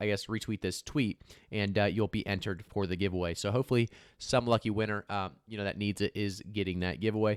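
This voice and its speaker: A fairly low-pitched man at a fairly quick pace, in a very clean, silent-background recording with a dry, close sound and no echo. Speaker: crypto YouTuber. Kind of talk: casual market commentary video. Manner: fast; filler-heavy, stumbling.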